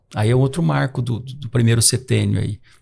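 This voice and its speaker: A man's voice carries a dark, mellow tone, sounds somewhat breathy and shows ordinary pitch variation. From Brazil, São Paulo state interior (Catanduva). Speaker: psychiatrist. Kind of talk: podcast conversation. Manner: hesitant, many fillers and repetitions.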